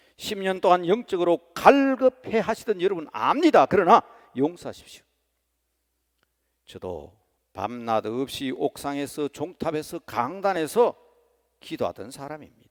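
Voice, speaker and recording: A man speaks at a high pitch with very wide pitch swings and big swings in loudness. He leaves long, frequent pauses, and the sound is dry and close with no echo. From rural Korea. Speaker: senior pastor. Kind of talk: sermon. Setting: church. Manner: impassioned.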